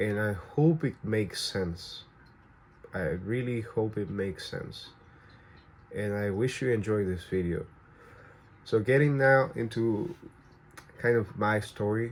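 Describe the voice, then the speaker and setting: With a Spanish accent, a man speaks at a fairly low pitch with ordinary pitch variation and long, frequent pauses. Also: fairly slow pace. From Venezuela. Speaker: vlogger. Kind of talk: personal storytelling to camera. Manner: halting, many fillers and restarts.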